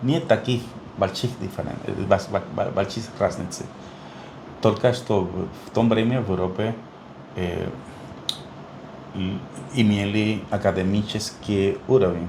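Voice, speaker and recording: Over noticeable background noise and audible room echo, a man with a fairly low pitch and ordinary pitch variation speaks very slowly, taking long, frequent pauses. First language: Spanish (speaking Russian). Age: 60s. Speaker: neonatologist. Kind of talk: interview. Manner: halting, many fillers.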